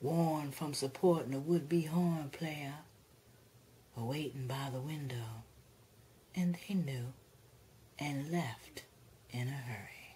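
A woman with a very deep, low pitch speaks at a very slow pace in a dramatic tone that is dark, mellow and somewhat breathy, using ordinary pitch variation and long, frequent pauses. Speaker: actress performing a poem. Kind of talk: spoken word poetry, dramatic reading of a poem. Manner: expressive, dramatic, rhythmic delivery.

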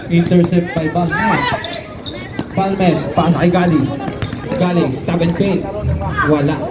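Very slow speech broken by long, frequent pauses, over loud background noise. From Philippines. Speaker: basketball game commentator. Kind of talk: live sports commentary. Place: street. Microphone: phone near.

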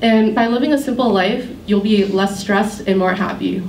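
A woman's American-accented voice with fairly even intonation, some audible room echo and light background noise. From Worcester, Massachusetts. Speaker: college student. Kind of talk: prepared speech. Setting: stage with audience. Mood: warm, smiling, reflective. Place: hall. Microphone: handheld.

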